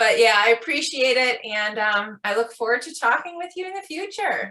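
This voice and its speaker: In a Michigan accent, a woman speaks at a moderate pace with a high pitch and a bright, sharp tone. Her pitch swings very widely and her loudness swings a lot. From Michigan, US. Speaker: podcast host. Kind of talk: casual interview chat.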